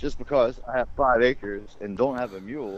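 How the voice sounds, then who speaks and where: With an American accent, a man speaks with ordinary pitch variation over noticeable background noise. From rural US South. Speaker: podcast host. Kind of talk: casual chat. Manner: animated.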